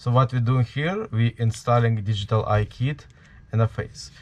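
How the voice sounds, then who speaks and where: A man with a strong Ukrainian accent speaks at a moderate pace with fairly even intonation. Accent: heavy Ukrainian. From Ukraine. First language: Ukrainian or Russian. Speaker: DIY Halloween prop maker. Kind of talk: tutorial. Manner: halting, many fillers.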